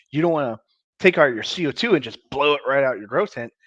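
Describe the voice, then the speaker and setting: A man speaks at a very fast pace against a quiet background. The sound is dry and close, with no echo. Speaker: grow light maker and live streamer. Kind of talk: live stream tutorial. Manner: fast, words sometimes dragged out or compressed.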